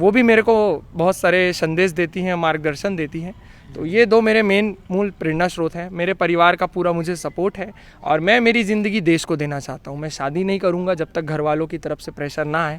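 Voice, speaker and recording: Speaking at a moderate pace with hardly any pauses, a man uses a high pitch with ordinary pitch variation. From India, Chhattisgarh (Rajnandgaon). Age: 20s. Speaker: long-distance cyclist and activist. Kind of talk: interview.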